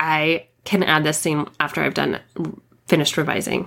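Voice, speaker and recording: Vocal fry colors a woman's very deep, low-pitched voice. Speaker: fiction author and podcast host. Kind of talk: casual solo monologue. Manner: frequent fillers and laughs.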